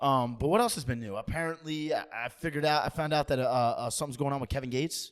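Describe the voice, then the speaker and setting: Very fast, animated speech from a man with a fairly high pitch. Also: ordinary pitch variation. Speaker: podcast host. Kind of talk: casual chat.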